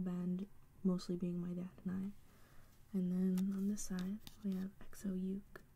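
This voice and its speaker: A woman speaks at a very slow pace in a medium pitch. Her voice is somewhat breathy. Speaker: singer-songwriter. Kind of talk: ASMR soft-spoken talk to camera. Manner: soft-spoken.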